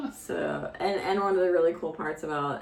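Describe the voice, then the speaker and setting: A woman with an American accent and ordinary pitch variation is heard amid noticeable background noise and audible room echo. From US, Florida. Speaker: vlogger, American expat parent. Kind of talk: casual chat.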